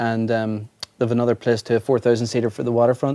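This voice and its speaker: A man with an Irish accent has a dark, mellow tone at a medium pitch. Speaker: singer-songwriter. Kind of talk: interview.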